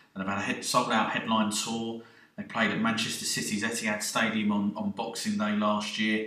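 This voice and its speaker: Noticeable background noise accompanies a man with a fairly low pitch. He talks at a fairly quick pace in a monotone, flat intonation. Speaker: radio show presenter. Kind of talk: radio DJ patter introducing tracks.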